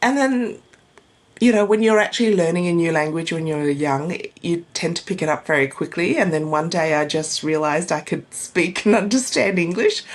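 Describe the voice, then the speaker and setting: Over noticeable background noise, the speaker talks at a fairly quick pace with lively intonation and an Australian accent. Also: woman. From Australia, arrived from Vietnam at age four. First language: Vietnamese. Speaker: divorce coach. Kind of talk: interview.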